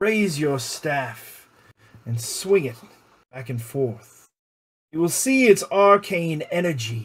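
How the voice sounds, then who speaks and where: A man's put-on character voice, fairly high in pitch, at a very slow pace with long, frequent pauses. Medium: actual play. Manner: persuasive, ominous.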